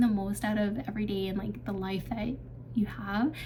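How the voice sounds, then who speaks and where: Audible room echo surrounds a woman whose somewhat breathy voice holds a fairly even intonation. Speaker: vlogger. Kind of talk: casual Q&A vlog. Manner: hesitant, many fillers.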